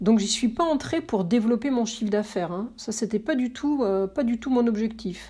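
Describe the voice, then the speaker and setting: A woman speaks at a moderate pace with hardly any pauses, her fairly high voice somewhat breathy with a dark, mellow tone. Her pitch varies in an ordinary way. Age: 50s. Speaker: press relations consultant. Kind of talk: interview.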